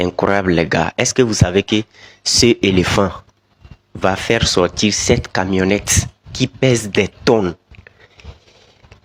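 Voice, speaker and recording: Very slow speech comes from a man with fairly even intonation. The sound is dry and close, with no echo. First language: not French (speaking French). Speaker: video commentator. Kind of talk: video commentary.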